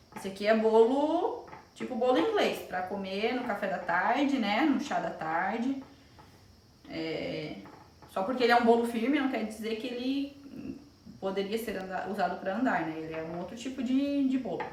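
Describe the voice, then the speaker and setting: Lively intonation at a moderate pace comes through audible room echo and noticeable background noise. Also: woman, fairly high pitch for a woman. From Brazil, Joinville, Santa Catarina. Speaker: pastry chef and baking teacher. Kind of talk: live-stream cooking demonstration. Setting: live stream. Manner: casual, chatty.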